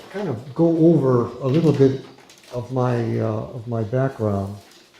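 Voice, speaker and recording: A man with an American accent talks at medium pitch and a fairly slow pace, with ordinary pitch variation. Noticeable background noise and audible room echo are present. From United States. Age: 70s. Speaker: former FBI hostage negotiator, social work lecturer. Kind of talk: lecture. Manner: hesitant, many fillers; informal.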